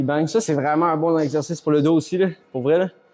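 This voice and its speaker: With music in the background, a man with a Quebec accent talks at a fairly quick pace in a fairly high pitch and ordinary pitch variation. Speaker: fitness vlogger. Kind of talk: casual vlog talk. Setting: gym. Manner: slurs words at times.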